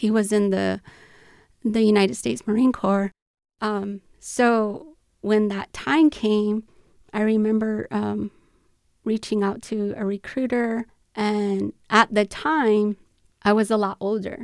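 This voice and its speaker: A woman's fairly high voice, very slow and fairly even in intonation, with long, frequent pauses, in a dry, close sound with no echo. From Tohono O'odham Nation, southern Arizona. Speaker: domestic violence advocate and Marine Corps veteran. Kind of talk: interview. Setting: studio.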